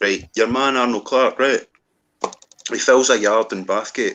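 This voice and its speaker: A man speaks with a Scottish central belt accent. His pace is fairly slow. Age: 40s. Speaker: former car salesman. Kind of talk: casual chat. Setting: group video call live stream.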